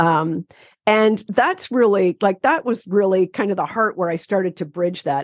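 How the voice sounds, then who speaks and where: At a moderate pace, a woman with a Canadian accent speaks at a medium pitch with ordinary pitch variation, in a dry, close sound with no echo. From Ontario, Canada. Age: 60s. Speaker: activist and therapist. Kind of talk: interview conversation. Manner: animated.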